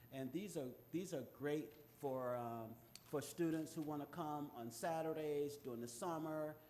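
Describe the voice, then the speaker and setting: A man's fairly high-pitched voice keeps a moderate pace. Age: 60s. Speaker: youth finance program presenter. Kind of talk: public presentation. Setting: city commission meeting. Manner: halting, many filler sounds.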